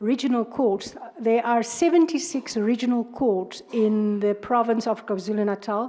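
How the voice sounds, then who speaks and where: In a South African accent, a woman speaks at a fairly slow pace with a fairly high pitch and ordinary pitch variation. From South Africa, Northern Cape. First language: Afrikaans. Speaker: judge. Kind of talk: job interview. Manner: halting, many fillers.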